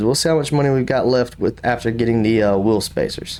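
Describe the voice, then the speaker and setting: Lively intonation from a man with a South Carolina accent. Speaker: gaming YouTuber. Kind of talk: casual gameplay commentary. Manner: casual, thinking aloud.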